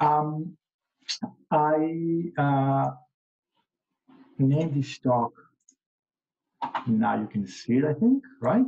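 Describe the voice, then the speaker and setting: A very slow, somewhat breathy delivery with a dark, mellow tone, a non-native accent, ordinary pitch variation and long, frequent pauses. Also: man, fairly high pitch for a man. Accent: heavy non-native. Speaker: entrepreneur and former researcher. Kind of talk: workshop presentation. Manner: halting, many fillers.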